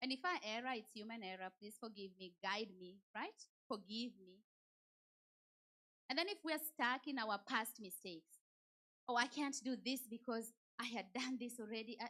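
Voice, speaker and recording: A woman speaks with a Kenyan accent at a fairly high pitch, her tone bright, sharp and animated. Her pitch varies in an ordinary way, with long, frequent pauses and big swings in loudness. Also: moderate pace. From Kenya, Nairobi. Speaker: church speaker. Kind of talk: motivational talk.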